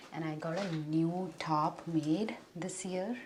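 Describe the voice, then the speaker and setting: Noticeable background noise behind a woman speaking at a fairly low pitch. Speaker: beauty vlogger. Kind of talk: makeup tutorial vlog. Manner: casual, chatty.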